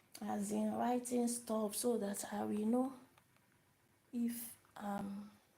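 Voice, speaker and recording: A woman speaks very slowly in a flat, monotone way, her pitch fairly high and her voice somewhat breathy. Audible room echo surrounds her. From Nigeria. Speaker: language teacher. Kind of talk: live-stream language lesson. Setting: live video stream. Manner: repetitive, hesitant with fillers.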